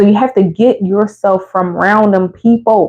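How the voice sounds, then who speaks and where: An animated woman with an American accent and medium pitch. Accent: Philadelphia accent, comes out at times. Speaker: motherhood vlogger. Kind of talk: casual advice monologue.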